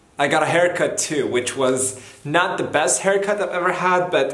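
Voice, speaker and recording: There is audible room echo as a man speaks at a fairly slow pace. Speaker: vlogger. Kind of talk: casual vlog chat. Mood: light, joking. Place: home room. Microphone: phone near.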